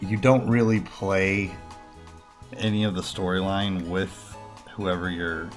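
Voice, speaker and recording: Music plays behind a man with a fairly low voice. He talks very slowly, his intonation fairly even. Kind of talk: casual gaming commentary.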